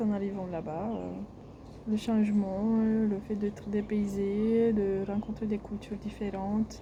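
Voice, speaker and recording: At a fairly slow pace, a woman speaks in a flat monotone at a medium pitch. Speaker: health vlogger. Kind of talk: casual vlog monologue. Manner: hesitant, many filler sounds.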